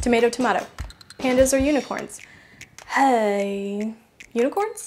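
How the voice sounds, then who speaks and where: A woman with a fairly high pitch and fairly even intonation, music in the background. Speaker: DIY craft youtuber. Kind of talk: Q&A vlog.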